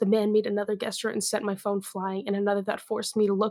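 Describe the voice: The clip consists of plain reading aloud.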